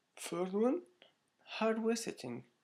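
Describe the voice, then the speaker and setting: A man with a non-native accent. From Morocco. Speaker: online course student. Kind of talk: tutorial. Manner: halting.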